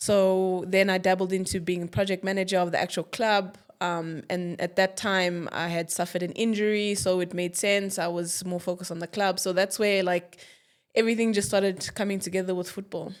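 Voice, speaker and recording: A woman speaks at a fairly quick pace and medium pitch in a flat monotone. The recording is very clean, with a silent background. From South Africa, born in Angola. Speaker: footballer and football administrator. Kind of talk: podcast interview.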